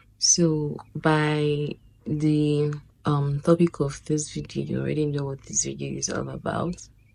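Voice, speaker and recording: A woman speaks at a fairly slow pace with noticeable background noise. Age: 20s. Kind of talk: personal story told to camera. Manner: casual greeting, hesitant.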